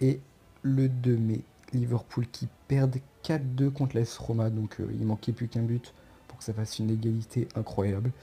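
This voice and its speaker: A somewhat breathy man with a dark, mellow tone speaks at a moderate pace in a monotone, flat intonation, leaving long, frequent pauses. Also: medium pitch for a man. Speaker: football YouTuber. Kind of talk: casual commentary video. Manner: stammering.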